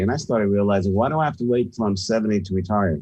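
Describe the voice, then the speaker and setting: Against a quiet background, a man with a fairly low pitch talks in a normal speaking voice. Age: 60s. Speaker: sales and leadership expert, author. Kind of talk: radio interview.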